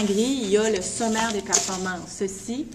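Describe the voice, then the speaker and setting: A woman speaks at a moderate pace with a fairly high pitch and fairly even intonation, amid audible room echo and noticeable background noise. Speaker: college internship supervisor. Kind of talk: instructional video message to students.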